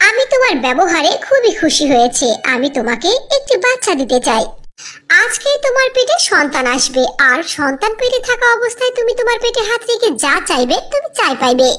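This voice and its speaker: In a cartoonish character voice, a female-sounding speaker squeaks at an extremely high pitch with very wide pitch swings over light background noise. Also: moderate pace. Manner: gracious, reassuring.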